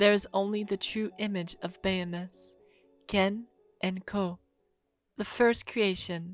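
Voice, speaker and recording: Soft-spoken and soothing, a woman talks at medium pitch in monotone, flat intonation at a fairly slow pace with long, frequent pauses. Music plays in the background. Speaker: lore podcaster / fantasy worldbuilder. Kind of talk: fantasy lore narration. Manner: soft, sleepy, soothing.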